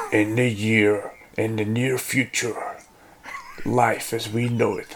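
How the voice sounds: A man puts on a gruff character voice at medium pitch, speaking at a very slow pace.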